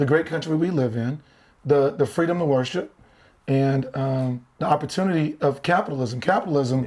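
Fairly quick speech from a man with ordinary pitch variation. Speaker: podcast guest. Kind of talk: interview answer. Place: studio.

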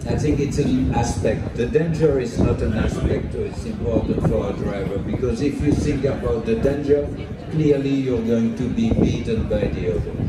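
Loud background noise and audible room echo surround the recording. A man speaks at a moderate pace. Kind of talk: interview answer. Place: stage.

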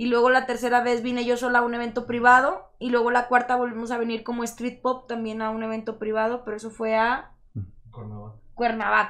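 Against a quiet background, a woman talks at a fairly quick pace, high-pitched and monotone, with flat intonation. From Monterrey, Nuevo León, Mexico. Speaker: singer-songwriter and rapper; guest. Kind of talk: casual interview chat. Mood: relaxed, friendly. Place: studio. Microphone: studio mic.

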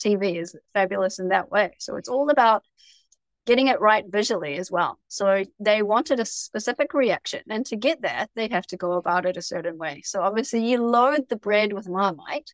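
With a New Zealand accent, a woman talks at a medium pitch with ordinary pitch variation against a quiet background. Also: dry sound with no echo. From New Zealand, Auckland. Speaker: TV personality; interview guest. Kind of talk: casual chat. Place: home room. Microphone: video call.

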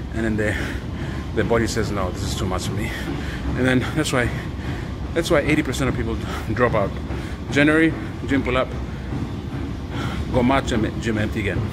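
A man at a fairly quick pace amid loud background noise. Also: ordinary pitch variation. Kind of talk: casual vlog chat. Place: gym. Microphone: phone near.

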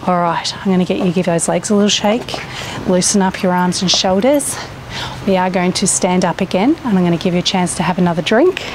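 With a calm, upbeat tone, a woman talks at a fairly quick pace, with ordinary pitch variation and very even loudness. Light background noise sits in a dry sound with no echo. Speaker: fitness instructor. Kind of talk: exercise class instruction, guided workout. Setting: outdoors at campsite. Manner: encouraging, calm; upbeat, casual, chatty. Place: garden.

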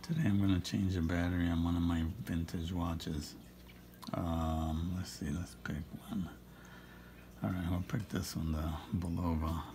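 A man with a very deep, low pitch, at a moderate pace, over noticeable background noise. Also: fairly even intonation. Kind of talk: ASMR watch repair talk to camera. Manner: soothing, relaxing.

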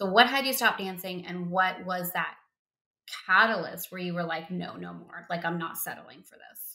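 A woman's bright, sharp voice with an American accent, moderate pace, ordinary pitch variation and big swings in loudness, against a quiet background. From US. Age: 40s. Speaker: podcast host. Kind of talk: interview; podcast intro. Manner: animated. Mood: warm, emotional, affectionate. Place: home room. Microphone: webcam.

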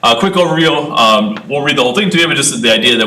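A man speaks with very wide pitch swings, noticeable background noise and audible room echo around him. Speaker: school administrator presenting to school board. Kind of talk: presentation at school board meeting. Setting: board meeting conference room. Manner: fast.

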